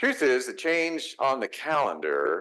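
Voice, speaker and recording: A man speaks with a Texas accent. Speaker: pastor. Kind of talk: sermon.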